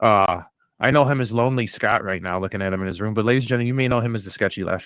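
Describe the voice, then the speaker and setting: The speaker has a strong Midwest accent and talks at a very fast pace. The recording is very clean, with a silent background. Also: man. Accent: thick Midwest. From US Midwest. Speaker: podcast host. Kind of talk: casual chat. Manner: animated.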